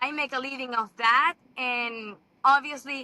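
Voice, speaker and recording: A woman with a Venezuelan accent speaks in a raised, projected, high-pitched voice with ordinary pitch variation. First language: Spanish. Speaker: TV host and model. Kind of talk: interview. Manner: halting.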